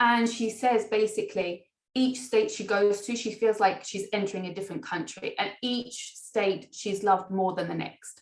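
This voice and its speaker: Speaking at a moderate pace with hardly any pauses, a woman uses a fairly high pitch and fairly even intonation in a British accent. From England. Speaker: international education recruitment manager. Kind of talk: webinar presentation.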